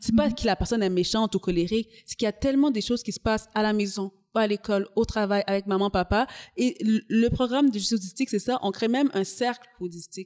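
A woman talks at a very fast pace in a fairly high voice. Her pitch varies in an ordinary way, and the sound is dry and close with no echo. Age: 30s. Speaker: community organization coordinator. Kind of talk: interview.

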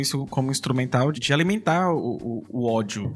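A medium-pitched man with a Brazilian accent at a fairly quick pace. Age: 30s. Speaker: professor, podcaster and drag artist. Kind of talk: casual interview.

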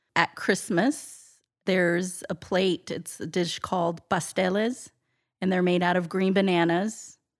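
A woman with a plain, everyday voice, medium pitch, fairly even intonation and a fairly slow pace, very clean recording and silent background. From US military family, moved around; Texas before Atlanta. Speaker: podcast guest. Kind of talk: interview conversation.

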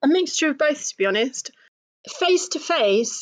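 A woman uses lively intonation in a dry, close sound with no echo against a quiet background. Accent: British. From Britain. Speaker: new coach. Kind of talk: interview.

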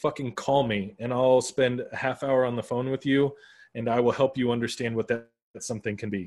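With a normal speaking voice, a man at a medium pitch talks at a fairly quick pace. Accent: American. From Arizona, US (west Phoenix). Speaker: podcaster and brand consultant. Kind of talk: casual interview chat.

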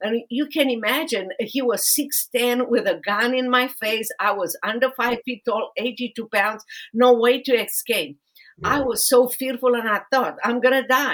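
A woman with a Romanian accent speaks at a fairly slow pace in a high voice, her intonation fairly even. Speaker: podcast host, lawyer and author. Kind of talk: interview podcast.

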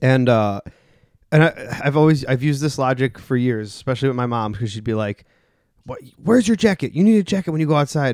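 A man with an American accent has an unremarkable speaking voice at a medium pitch. He talks at a fairly quick pace with lively intonation. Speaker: podcast host. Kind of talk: casual chat. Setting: studio.

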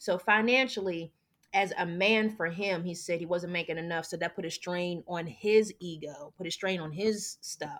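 An unremarkable speaking voice from a woman, fairly low in pitch, at a moderate pace with ordinary pitch variation. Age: 30s. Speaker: podcast guest. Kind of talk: personal testimony in a casual interview. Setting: remote recording.

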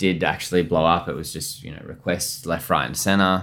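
Speaking with an Australian accent, a man keeps a moderate pace and fairly even intonation. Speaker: chef. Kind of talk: podcast interview. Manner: casual, with many fillers.

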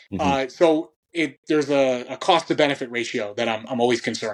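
At a fairly quick pace, a man with a normal speaking voice and medium pitch talks with ordinary pitch variation against a quiet background. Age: 30s. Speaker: strength and conditioning coach for grappling athletes. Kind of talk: casual interview conversation.

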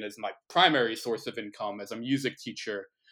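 A man with an American accent at medium pitch, bright and sharp in tone, fairly even in intonation, at a moderate pace, on a very clean recording with a silent background. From New Jersey. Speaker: baritone singer and music teacher. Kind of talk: casual interview.

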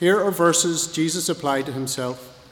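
Talking at a fairly slow pace with ordinary pitch variation, a man is heard over noticeable background noise. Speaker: scripture reader. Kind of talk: reading scripture aloud.

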